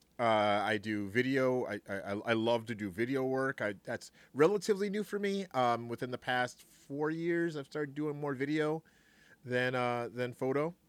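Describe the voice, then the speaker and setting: A man in a normal speaking voice at medium pitch, on a very clean recording with a silent background. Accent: American. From Brooklyn, New York. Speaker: gaming streamer and devotional podcaster. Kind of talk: casual chat.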